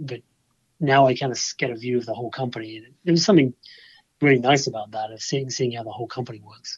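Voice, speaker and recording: This man talks at a very fast pace in a medium-pitched, somewhat breathy voice, his loudness swinging widely. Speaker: golf club engineer. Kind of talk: podcast interview.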